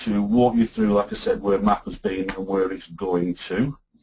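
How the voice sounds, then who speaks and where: A man's dark, mellow tone with lively intonation. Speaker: company representative hosting webinar. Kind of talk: webinar presentation. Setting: online webinar. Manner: slow and deliberate.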